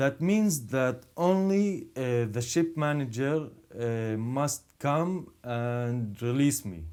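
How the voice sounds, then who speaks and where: The voice has a dark, mellow tone and an Arabic accent. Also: man. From Israel, Druze community. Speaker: podcast host. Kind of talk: casual conversation.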